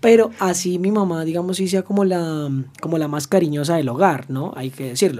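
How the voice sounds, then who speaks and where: Ordinary pitch variation in a man's high-pitched voice, moderately paced. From Colombia, Arauca (Llanos region). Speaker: podcast host, legal psychology. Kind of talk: casual chat; scripted intro/outro.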